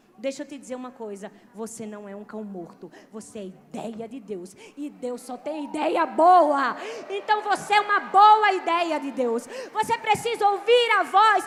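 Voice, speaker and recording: A woman with a strong northeastern Brazilian accent speaks at a fairly slow pace, her pitch swinging very widely. Noticeable background noise runs through the clip. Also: big swings in loudness. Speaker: pastor. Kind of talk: sermon.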